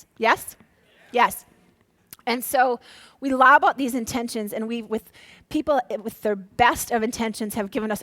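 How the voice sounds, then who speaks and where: In an Upper Midwest accent, a woman speaks at a fairly slow pace with a fairly high pitch, ordinary pitch variation and an animated tone. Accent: Upper Midwest American. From Minnesota. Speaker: motivational speaker. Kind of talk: workshop talk to a live audience.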